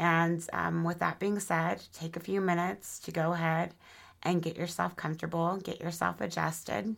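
A woman speaks in an ordinary speaking voice at a fairly low pitch with fairly even intonation. The recording is very clean, the background silent. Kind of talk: guided meditation. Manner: slow, soothing, gentle and unhurried; calm, warm, nurturing.

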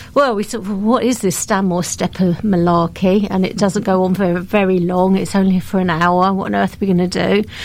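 A woman with an unremarkable speaking voice at medium pitch, fairly quick and fairly even in intonation, with hardly any pauses. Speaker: volunteer coordinator. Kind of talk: interview chat.

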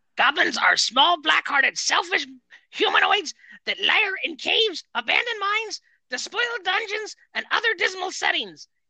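The voice is a put-on character voice. Its pitch sits extremely high. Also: moderate pace. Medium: game stream.

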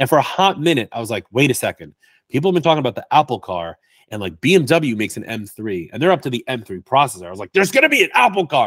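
Talking at a very fast pace, a man with a medium pitch shows very wide pitch swings and vocal fry, all heard in a dry, close sound with no echo. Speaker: IT consultant and Apple expert. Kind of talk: casual interview chat. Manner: playful, joking.

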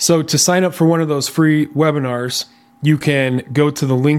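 Through noticeable background noise, a man speaks at a moderate pace with fairly even intonation. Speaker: podcast host. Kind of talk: casual interview.

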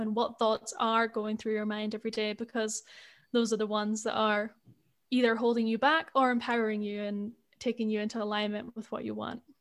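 With a Scottish accent, a woman speaks at a moderate pace. Her voice is fairly high in pitch. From Scotland. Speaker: spiritual life coach. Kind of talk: casual chat.

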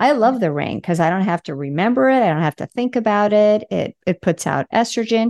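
In a dry, close sound with no echo and a quiet background, a woman with an unremarkable speaking voice talks at a fairly quick pace with lively intonation and hardly any pauses. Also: medium pitch for a woman. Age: 60s. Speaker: sex therapist, podcast host. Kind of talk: casual interview chat.

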